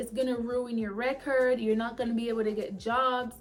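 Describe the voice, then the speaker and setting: Loud and animated, a woman talks in a high voice over audible room echo. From immigrant to the US, grew up abroad. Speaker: Marine corporal and vlogger. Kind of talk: casual vlog talk.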